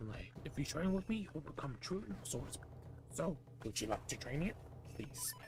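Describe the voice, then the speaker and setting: A man uses a put-on character voice at a medium pitch. He keeps a moderate pace over clear background noise. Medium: game stream. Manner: boastful, grand.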